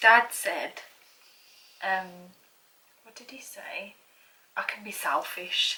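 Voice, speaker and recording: A woman whispering with an English accent, very slow pace, long and frequent pauses, big swings in loudness, and noticeable background noise. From England. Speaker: YouTuber. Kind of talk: casual chat.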